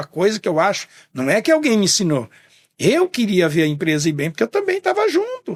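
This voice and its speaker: A man speaks at a moderate pace in a high voice with very wide pitch swings, and the sound is dry and close with no echo. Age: 70s. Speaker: business owner. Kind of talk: podcast interview. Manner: halting, with repetitions.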